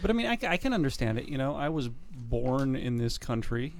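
A man with an American accent has an ordinary speaking voice at a medium pitch. He talks at a moderate pace with ordinary pitch variation. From US South. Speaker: podcast co-host. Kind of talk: casual chat.

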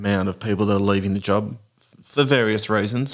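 With an Australian accent, a man talks at a fairly quick pace in a fairly low pitch with fairly even intonation. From Tasmania, Australia. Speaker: paramedic. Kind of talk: casual interview. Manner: halting, with repetitions.

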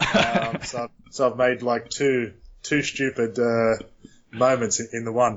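Over noticeable background noise, a man with an Australian accent talks at a very slow pace, with a medium pitch and flat, monotone intonation. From Australia, Sydney. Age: 40s. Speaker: retired professional football goalkeeper. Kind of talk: interview. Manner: halting, many fillers.

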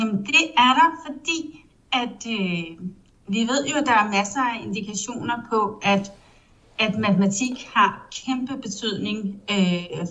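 Audible room echo and noticeable background noise surround a fairly slow delivery with ordinary pitch variation. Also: woman, fairly high pitch for a woman. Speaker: publishing editor-in-chief. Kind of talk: interview. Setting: online call.

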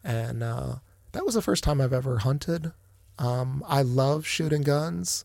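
In a plain, everyday voice with an American accent, a man speaks at a medium pitch and a fairly slow pace with lively intonation, on a very clean recording with a silent background. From Northeast Ohio (Akron). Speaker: hospital finance executive. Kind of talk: casual interview. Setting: studio.

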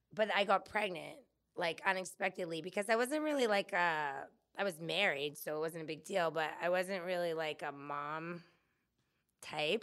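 On a very clean recording with a silent background, a woman talks at a moderate pace in a fairly low pitch. She has a plain, everyday voice with ordinary pitch variation. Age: 40s. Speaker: landscaper and floral designer. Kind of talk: casual interview. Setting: studio.

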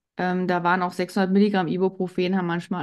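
A woman is speaking. The background is quiet. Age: 40s. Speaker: pharmacy technician and women's health coach. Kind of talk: interview. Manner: hesitant filler words.

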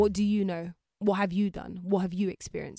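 A woman's very fast speech with a dry, close sound and no echo. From London, England, raised partly in Jamaica. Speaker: podcaster and presenter. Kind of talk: casual interview chat.

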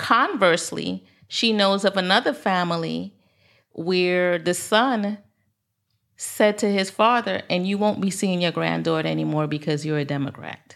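A woman with a plain, everyday voice and an American accent speaks at medium pitch and a moderate pace, with ordinary pitch variation on a very clean recording over a silent background. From Barbados and Brooklyn, New York. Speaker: financial professional. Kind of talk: casual interview conversation.

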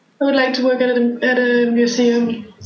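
Over noticeable background noise and audible room echo, a high-pitched woman with a Danish accent speaks at a fairly slow pace. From Denmark, small town. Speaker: podcast guest. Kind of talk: casual chat.

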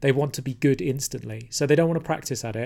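Medium pitch from a man with a London accent and ordinary pitch variation, on a very clean recording with a silent background. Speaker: podcast host and former tattoo artist. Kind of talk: casual interview.

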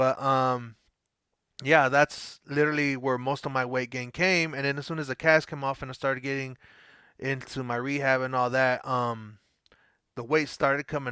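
With a bright, sharp yet relaxed tone, a man speaks at medium pitch and moderate pace with fairly even intonation. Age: 30s. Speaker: former soccer coach on weight-loss journey. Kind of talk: podcast interview. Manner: casual, relaxed.

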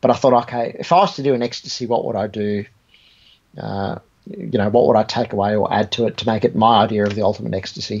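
This man speaks at a very fast pace with an Australian accent. His pitch is fairly low and his intonation fairly even. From Australia, Sydney (born in Egypt, emigrated aged eight). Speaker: guitar amp and pedal designer. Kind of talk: casual interview chat. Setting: video call.

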